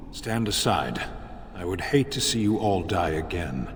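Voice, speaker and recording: A man uses a put-on character voice with a very deep, low pitch at a moderate pace. Clear echo and clear background noise fill the recording. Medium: video game. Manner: terse, grave.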